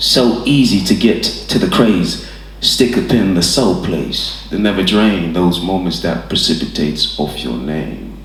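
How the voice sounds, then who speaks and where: Over noticeable background noise, a man talks at a fairly slow pace with hardly any pauses. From Hackney, London. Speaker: poet performing at an open mic. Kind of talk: spoken word poetry performance.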